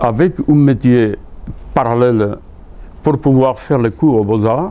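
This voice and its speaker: A man with a Spanish accent speaks at a fairly slow pace. His pitch is medium with ordinary variation. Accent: Spanish accent in French, kept on purpose. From Spain, Seville (Andalusia). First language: Spanish (speaking French). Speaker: painter. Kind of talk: interview. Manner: halting, with many repetitions.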